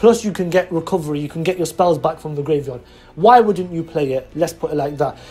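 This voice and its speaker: Delivered at a fairly quick pace in an animated tone, the speech comes with a British accent over noticeable background noise. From England. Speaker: YouTuber, card game deck reviewer. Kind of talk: deck profile tutorial.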